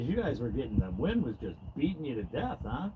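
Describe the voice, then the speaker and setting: Loud and fairly quick, a man talks with very wide pitch swings. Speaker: fishing livestreamer. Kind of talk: live stream chat. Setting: outdoors in a boat. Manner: casual.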